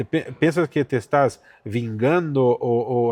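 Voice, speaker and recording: Man with a Portuguese accent, medium pitch and ordinary pitch variation, in a dry, close sound with no echo. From Brazil, São Paulo. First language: Portuguese (speaking Spanish). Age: 40s. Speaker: pastor. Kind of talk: testimony.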